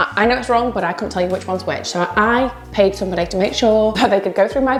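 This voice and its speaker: A woman with a Yorkshire accent, animated in tone, with lively intonation at a very fast pace, over noticeable background noise. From Yorkshire, northern England. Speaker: self-published author and vlogger. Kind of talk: casual vlog talk to camera.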